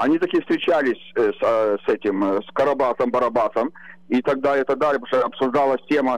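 Against a quiet background, a man with a medium pitch talks at a fairly quick pace and keeps his intonation fairly even. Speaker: caller. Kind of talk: talk show discussion. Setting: phone call. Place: home room. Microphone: video call.

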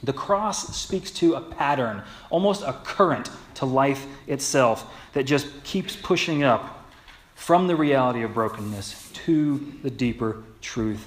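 Lively in intonation, a man talks at a fairly slow pace. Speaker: pastor. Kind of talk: sermon. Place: church.

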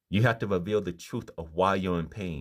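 A man speaks at a very deep, low pitch. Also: quiet background. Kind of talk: informal sermon. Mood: earnest, calm. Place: home room. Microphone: phone near.

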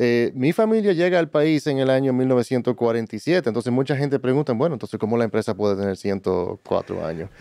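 A man's medium-pitched voice, dark and mellow in tone, at a moderate pace with hardly any pauses, dry with no echo over a quiet background. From Dominican Republic. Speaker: logistics business executive; podcast guest. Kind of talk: interview. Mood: calm, reflective storytelling. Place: studio. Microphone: studio mic.

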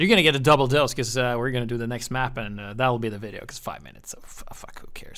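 A man's very fast speech with hardly any pauses, big swings in loudness, ordinary pitch variation, and noticeable background noise. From Norway. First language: Norwegian. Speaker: gaming YouTuber. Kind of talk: gameplay commentary. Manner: casual, animated.

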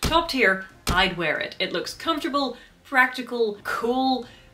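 Music plays in the background as a woman speaks with very wide pitch swings. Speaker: video creator, actor-combatant. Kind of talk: casual vlog commentary. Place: home room.

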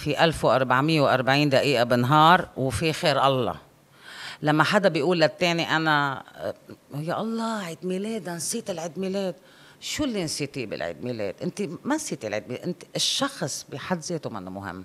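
A woman with a very deep, low pitch talks at a moderate pace. Her pitch swings very widely and her loudness shifts a great deal. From Kuwait, then Syria and Lebanon. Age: 40s. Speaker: life coach and psychologist; life coach. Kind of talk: personal interview. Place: studio. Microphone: studio mic.

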